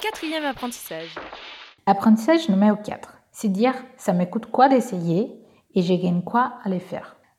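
A woman speaks at a moderate pace with lively intonation. Her pitch is fairly high. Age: 20s. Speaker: social entrepreneur. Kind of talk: testimony. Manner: hesitant, many fillers.

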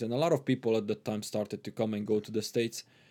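In a very clean recording with a silent background, a man with a Hungarian accent speaks with fairly even intonation. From Transylvania, Romania (ethnic Hungarian). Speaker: immigrant guest. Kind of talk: casual interview. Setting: studio.

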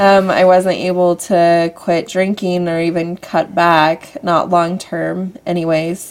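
With noticeable noise behind her, a woman speaks very slowly in an American accent. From US Southwest (Henderson, Nevada). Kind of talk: testimony.

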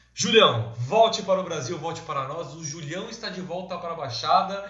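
Over noticeable background noise and audible room echo, a man with a high pitch talks at a moderate pace with lively intonation. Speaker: podcast host. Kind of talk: casual chat; sponsorship appeal.

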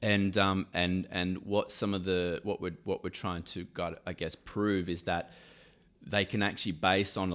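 A man with an Australian accent speaks in a very deep, low pitch with fairly even intonation. The recording is very clean, with a silent background. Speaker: insurance executive. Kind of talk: interview. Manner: halting, many fillers and repeated words.

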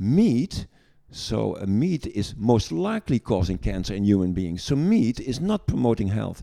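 A man with a Dutch accent speaks at a moderate pace in a fairly low pitch. His dark, mellow tone moves through very wide pitch swings. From Netherlands. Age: 60s. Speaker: gynecologist and medical lecturer. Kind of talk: casual interview chat.

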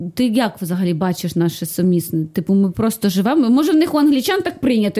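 A woman's medium-pitched voice, dark and mellow in tone, with lively intonation. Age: 30s. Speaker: actress and comedian. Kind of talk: casual chat.

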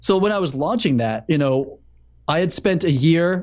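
Using lively intonation and an ordinary speaking voice, a man with an American accent talks at a fairly quick pace. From Massachusetts, Boston area. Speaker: cinematographer and software founder. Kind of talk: casual chat.

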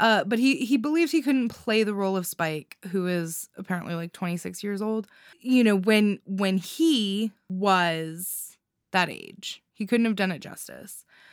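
Recorded very cleanly against a silent background, a woman talks at a medium pitch with lively intonation. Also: fairly slow pace. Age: 30s. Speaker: podcast host. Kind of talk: solo podcast monologue. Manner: casual, halting with fillers.

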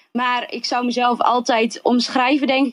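This woman's voice sits at a fairly high pitch. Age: 20s. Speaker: social entrepreneur. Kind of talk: interview. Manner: animated.

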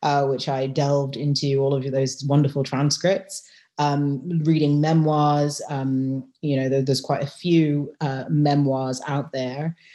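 In a British accent, a woman speaks at a fairly slow pace with a very deep, low pitch and a dark, mellow tone. Her intonation is monotone and flat. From UK. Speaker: lawyer and novelist. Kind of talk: interview.

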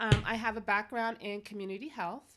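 Fairly quick delivery comes in a normal speaking voice. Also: woman. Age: 50s. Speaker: fitness instructor. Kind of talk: casual chat.

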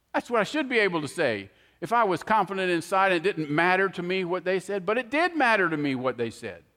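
Speaking very fast in a raised, projected voice, a man talks at a high pitch. His pitch swings very widely. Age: 60s. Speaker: preacher. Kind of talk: sermon. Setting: church.

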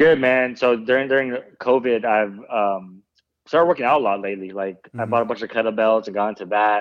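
Very fast speech comes from a man with an American accent and a medium pitch. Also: ordinary pitch variation. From US West Coast, San Francisco Bay Area. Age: 30s. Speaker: youth basketball coach. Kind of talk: casual interview.

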